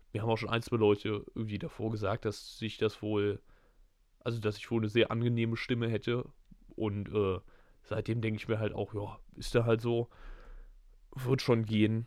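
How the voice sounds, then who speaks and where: The recording is very clean, with a silent background. A man at medium pitch speaks in a monotone, flat intonation, leaving long, frequent pauses. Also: moderate pace. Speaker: podcast co-host. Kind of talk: casual chat.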